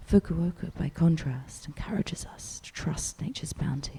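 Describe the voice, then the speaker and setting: Soft-spoken and with vocal fry, a woman in a New Zealand accent talks at a moderate pace in a dark, mellow tone with fairly even intonation. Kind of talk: quiet audiobook-style reading for ASMR. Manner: quiet, soft-spoken.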